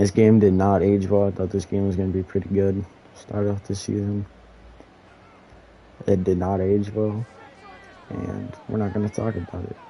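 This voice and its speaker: Amid crowd noise in the background, a man speaks at a moderate pace in a fairly low, monotone voice with flat intonation and long, frequent pauses. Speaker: gaming streamer. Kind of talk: live game commentary. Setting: live stream. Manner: casual, with slips of the tongue.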